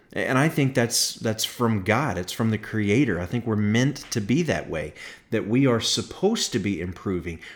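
A man with an ordinary speaking voice at medium pitch talks at a moderate pace with lively intonation. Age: 40s. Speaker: podcast host and pastor. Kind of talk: solo podcast monologue.

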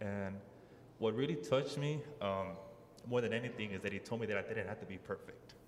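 A man talks fairly quickly at a medium pitch with ordinary pitch variation and long, frequent pauses. Noticeable background noise and audible room echo fill the recording. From Southeast Dallas, Texas. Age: 20s. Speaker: new convert, former boxer. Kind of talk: personal testimony. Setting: mosque with audience. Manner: halting, many fillers.

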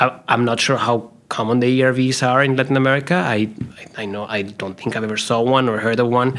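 At a fairly quick pace, a man with a plain, everyday voice talks at medium pitch with fairly even intonation. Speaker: commissioning engineer and trainer. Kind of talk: casual interview chat.

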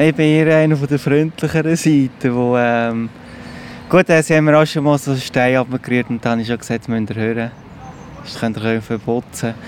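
Noticeable background noise sits behind a man speaking. He talks fairly quickly with ordinary pitch variation. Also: medium pitch for a man. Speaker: church sexton and caretaker. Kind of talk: casual interview.

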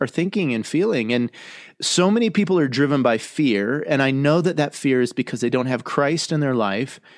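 A man speaks at a moderate pace in a normal speaking voice. His medium pitch shows ordinary variation. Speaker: podcast host and soccer chaplain. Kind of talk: casual group chat. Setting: video call.

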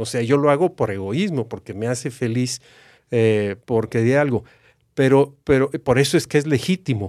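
A man with a plain, everyday voice speaks at a medium pitch and a moderate pace with ordinary pitch variation, in a very clean recording with a silent background and a dry, close sound with no echo. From Mexico (Aguascalientes). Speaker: retired university executive. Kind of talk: interview conversation.

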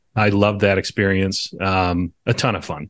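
A man with a fairly low voice speaks in an American accent against a quiet background. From upstate New York. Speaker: financial advisor. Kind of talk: casual interview chat. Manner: chatty, talkative.

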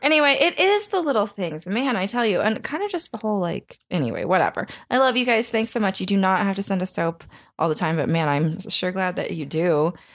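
Delivery is at a fairly quick pace with an animated tone. The recording is very clean, against a silent background. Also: woman, medium pitch for a woman. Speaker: podcast host. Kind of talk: casual chat.

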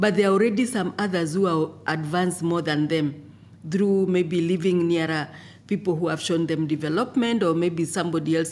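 The speaker has a Kenyan accent. The pace is fairly quick. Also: woman. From Kenya, Maasai. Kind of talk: interview.

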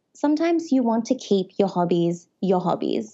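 Speaking at a moderate pace, a woman with an Australian accent has a medium pitch. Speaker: edtech entrepreneur. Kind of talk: casual interview chat.

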